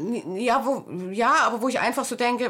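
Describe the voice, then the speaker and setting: Her fairly high pitch shows ordinary pitch variation, and the woman has an unremarkable speaking voice. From East Germany (GDR). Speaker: book editor and author. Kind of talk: interview.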